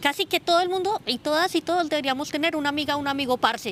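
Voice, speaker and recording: A woman talks very fast with a Colombian accent. Her pitch is high. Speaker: sociologist and researcher. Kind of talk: interview. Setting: outdoors. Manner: halting.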